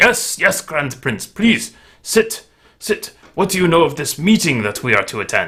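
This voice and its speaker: Using a put-on character voice, a man speaks at a moderate pace in a high pitch with very wide pitch swings. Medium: actual play. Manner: deferential, ingratiating.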